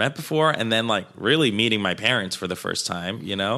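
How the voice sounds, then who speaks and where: A man's voice comes through at a medium pitch with a bright, sharp tone. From Colombia, moved to Queens NY at twelve. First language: Spanish. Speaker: comedian and dancer. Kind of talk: casual chat. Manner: animated.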